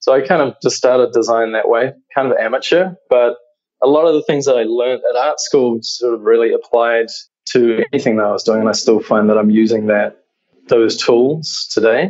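This man speaks with a New Zealand accent. His pitch is medium and his pace is fairly quick. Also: ordinary pitch variation. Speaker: creative director. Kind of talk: interview.

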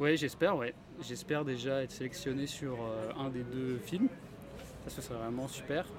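With fairly even intonation, a man delivers his words at a moderate speed and a medium pitch. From France and Sweden. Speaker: film composer. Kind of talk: interview. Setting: film festival. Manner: halting.

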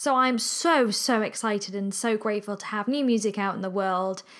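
A woman with an English accent speaks in an animated tone, captured in a very clean recording with a silent background. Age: 20s. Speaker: podcast host and musician. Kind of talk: casual solo monologue. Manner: chatty, animated.

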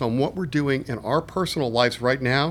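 A man with a normal speaking voice, fairly high in pitch, ordinary pitch variation and a fairly quick pace. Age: 50s. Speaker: management consultant, former federal finance executive. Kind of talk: interview. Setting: conference.

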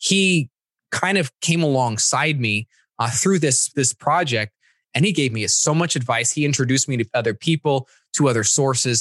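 Speaking at a moderate pace and a fairly high pitch, a man with an unremarkable speaking voice keeps very even loudness and ordinary pitch variation, in a dry, close sound with no echo. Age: 30s. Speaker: e-commerce developer and trainer. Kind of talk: casual interview.

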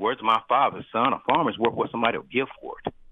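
A man talks at a very fast pace. His voice is nasal with a slightly husky edge. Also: fairly low pitch for a man, ordinary pitch variation.

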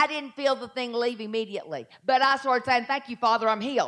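Energetic and high-pitched, a woman speaks in a Southern US accent. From Southern United States. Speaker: pastor preaching a sermon. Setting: church service, live audience. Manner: fast-paced, energetic preaching.

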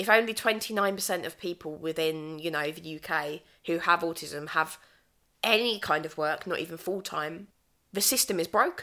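The tone is bright and sharp, with ordinary pitch variation. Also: woman, fairly low pitch for a woman, moderate pace. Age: 20s. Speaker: mental health advocate and teacher. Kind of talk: casual chat.

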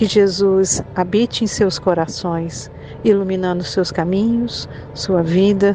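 A woman's medium-pitched voice, very slow, with very even loudness and fairly even intonation, amid noticeable background noise. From Goiás, Brazil. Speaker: spiritist center member giving tribute. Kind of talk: recorded tribute message.

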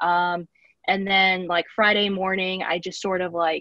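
A woman is speaking at a moderate pace. Her voice has a medium pitch. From Texas, Corpus Christi. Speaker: student newspaper editor. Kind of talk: casual interview. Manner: hesitant, many fillers.

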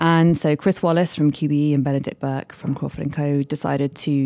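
With a British accent, a woman speaks in a very deep, low voice of dark, mellow tone and ordinary pitch variation, recorded dry and close with no echo. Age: 30s. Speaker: charity fundraising director. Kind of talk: radio interview. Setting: live industry event.

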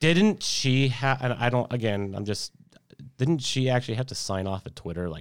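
Here is a man with a plain, everyday voice, a fairly low pitch and lively intonation at a moderate pace. The recording is very clean, with a silent background. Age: 30s. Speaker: gaming podcast host. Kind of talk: casual chat.

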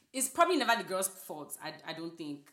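Very fast, a woman with an African accent talks with very wide pitch swings. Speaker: podcast co-host. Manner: casual, animated.

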